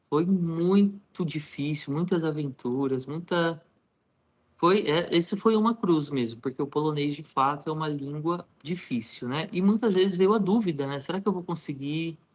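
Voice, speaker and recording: Using a plain, everyday voice, a man speaks at a moderate pace with a fairly high pitch and ordinary pitch variation. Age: 30s. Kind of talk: interview, personal testimony.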